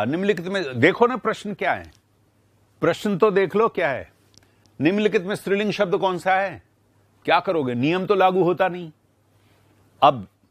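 Over a quiet background, a man talks at a fairly slow pace and a high pitch, the sound dry with no echo. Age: 70s. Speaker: Hindi grammar teacher. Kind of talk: live online class. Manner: animated. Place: studio. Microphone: lapel.

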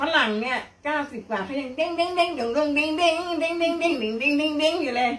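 Her high-pitched voice shows ordinary pitch variation as this woman talks. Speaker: daughter of the veteran actress. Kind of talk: casual family conversation. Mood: playful, joking. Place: home room. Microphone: phone near.

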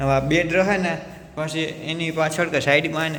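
There is audible room echo and noticeable background noise. A man talks with fairly high pitch and monotone, flat intonation. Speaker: village vlogger. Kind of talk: casual vlog narration. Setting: village farm and street. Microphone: echo in empty room.

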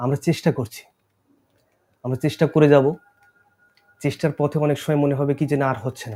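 Fairly high in pitch with fairly even intonation, a man talks in an unremarkable speaking voice. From Bangladesh, Khulna region. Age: 20s. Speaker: actor. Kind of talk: interview.

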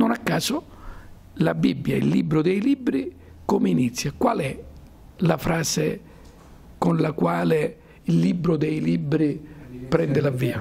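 Speaking very slowly with long, frequent pauses, a man keeps his loudness very even. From Calabria, Decollatura area; Calabria. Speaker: university professor and club president; university professor. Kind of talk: lecture to students. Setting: school conference hall with audience. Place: hall. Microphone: handheld.

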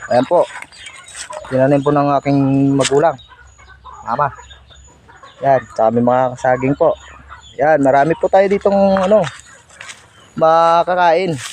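Noticeable background noise surrounds a man with a fairly high pitch and ordinary pitch variation. He speaks fairly slowly at very even loudness, with long, frequent pauses. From Negros Occidental, Philippines (Bacolod area). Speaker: vlogger. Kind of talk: casual vlog tour.

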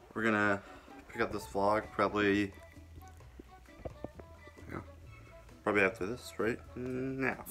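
Faint music sits in the background as a man at fairly low pitch speaks at a moderate pace with fairly even intonation. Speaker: vlogger. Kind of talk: casual vlog chat. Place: home room. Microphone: phone near.

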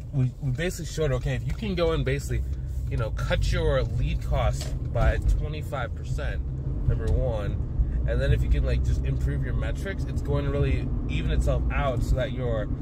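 A man at a moderate pace, dry sound with no echo, music playing in the background. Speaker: business coach. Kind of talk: casual vlog chat. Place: car. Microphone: phone near.

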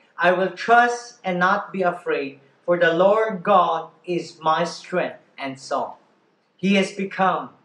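With audible room echo, a man with a high pitch and ordinary pitch variation speaks at a very slow pace. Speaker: pastor leading worship. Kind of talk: worship welcome and scripture reading.

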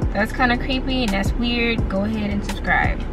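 Clear music plays in the background as a woman speaks at a very fast pace with fairly even intonation. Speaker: vlogger. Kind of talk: casual vlog chat. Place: car. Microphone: phone near.

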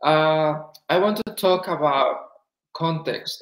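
Audible room echo carries a man's fairly high-pitched voice with fairly even intonation. The background is quiet. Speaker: panel moderator. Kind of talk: online panel discussion. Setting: video call. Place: home room.

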